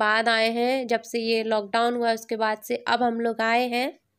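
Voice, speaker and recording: A very clean recording with a silent background of a woman at a fairly high pitch and a fairly slow pace. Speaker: family vlogger. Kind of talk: vlog voice-over narration.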